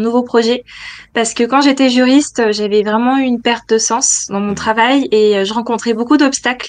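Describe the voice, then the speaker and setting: A woman's high pitch, fairly even intonation and fairly slow pace. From France, Nantes; France. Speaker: feng shui interior decorator, former lawyer; former lawyer. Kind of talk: interview testimony. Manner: hesitant, many fillers. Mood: warm, reflective.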